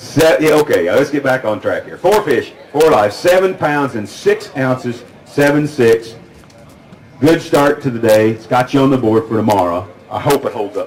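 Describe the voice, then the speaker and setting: The speaker has a slight Oklahoma accent and an animated tone with lively intonation. The pace is moderate, over noticeable background noise. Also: man, fairly high pitch for a man. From California, San Joaquin Valley. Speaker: tournament weigh-in emcee. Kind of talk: live weigh-in announcing.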